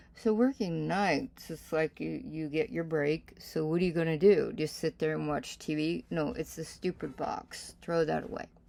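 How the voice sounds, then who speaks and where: The recording is very clean, with a silent background. The speaker is a woman. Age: 60s. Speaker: reverend and spiritual teacher. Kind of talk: casual sermon talk.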